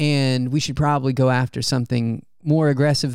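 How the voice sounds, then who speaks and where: A man with an unremarkable speaking voice, medium pitch, and a fairly quick pace. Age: 30s. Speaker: podcast co-host and runner. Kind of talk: casual chat. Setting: at home.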